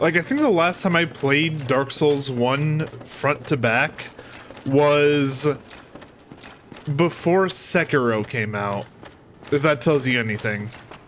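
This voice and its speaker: Over noticeable background noise, a man talks at a very slow pace with ordinary pitch variation and long, frequent pauses. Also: fairly high pitch for a man. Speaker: gaming youtuber. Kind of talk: let's play commentary. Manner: loud; casual, animated.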